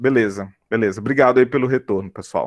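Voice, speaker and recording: Dry, close sound without echo, from a man pitched in the medium range. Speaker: university lecturer. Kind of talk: online lecture. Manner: animated. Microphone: headphones with mic, possible connection drops.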